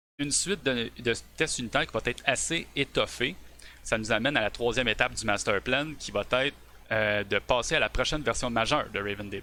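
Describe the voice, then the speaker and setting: A bright, sharp tone in a Quebec accent, with ordinary pitch variation. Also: man. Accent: Québécois French. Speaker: software developer. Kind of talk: tech presentation on a live stream. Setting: live stream. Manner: hesitant, many fillers.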